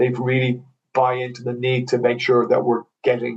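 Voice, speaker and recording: In an Irish accent, a man speaks at a medium pitch with a somewhat breathy quality. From Ireland. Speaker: mortgage broker. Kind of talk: casual chat. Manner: halting, many fillers and repeats.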